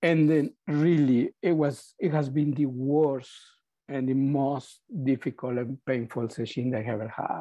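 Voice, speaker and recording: Speaking at a fairly slow pace, a man with a Spanish accent uses a fairly high pitch and ordinary pitch variation. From Mexico. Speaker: Zen teacher. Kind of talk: dharma talk. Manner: halting, with many repetitions.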